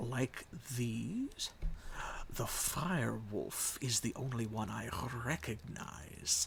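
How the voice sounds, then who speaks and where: A man puts on a character voice at a medium pitch, very slowly and with long, frequent pauses. Clear background noise is present. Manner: put-on character voice.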